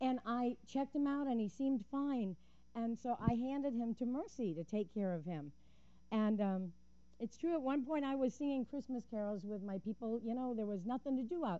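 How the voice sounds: A woman talks at a moderate pace, her tone dark and mellow. Her fairly high pitch rises and falls with lively intonation.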